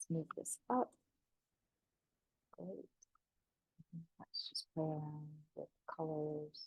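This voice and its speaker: Speech comes very slowly, with long, frequent pauses and a somewhat breathy quality. Intonation is lively, and the sound is dry and close, with no echo. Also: woman, very deep, low pitch for a woman. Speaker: affiliate marketer. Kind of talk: tutorial.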